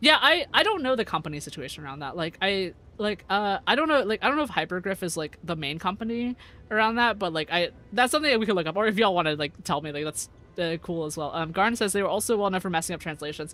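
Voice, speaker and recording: A man speaks at a very fast pace in a high, bright and sharp voice, raised and projected, with lively intonation. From US, Vietnamese-American family. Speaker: VTuber streamer. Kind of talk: casual live stream chat. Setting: live stream. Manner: many fillers and repetitions.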